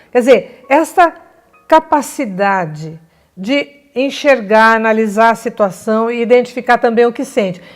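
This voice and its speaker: A woman talks at a high pitch and a fairly slow pace. Her intonation is lively. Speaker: family communication coach. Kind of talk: educational talk. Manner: animated.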